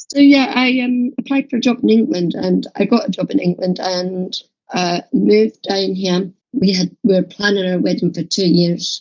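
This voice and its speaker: With a somewhat breathy delivery, a woman talks at a medium pitch with lively intonation. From Scotland. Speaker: holistic therapist and podcast co-host. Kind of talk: casual chat.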